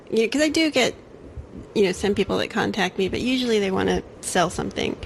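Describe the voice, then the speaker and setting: Her pace very fast, a woman with vocal fry speaks at medium pitch with lively intonation. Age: 40s. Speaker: podcast host. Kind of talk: casual chat.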